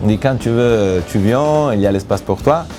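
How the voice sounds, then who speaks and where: Music plays in the background. A man speaks at a fairly low pitch with ordinary pitch variation. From Italy. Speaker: reality TV bachelor, businessman. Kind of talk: interview answer.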